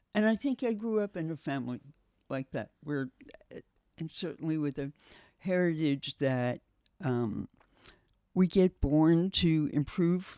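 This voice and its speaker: Recorded very cleanly against a silent background, a woman speaks very slowly at a very deep, low pitch, with lively intonation and a dark, mellow tone in a dry, close sound with no echo. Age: 70s. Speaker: physician and children's home founder. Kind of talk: interview.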